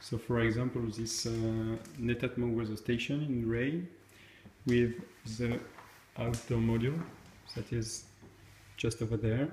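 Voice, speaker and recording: A man with a French accent at a moderate pace, with fairly even intonation, audible room echo and light background noise. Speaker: tech video creator. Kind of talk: tutorial. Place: home room. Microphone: phone near.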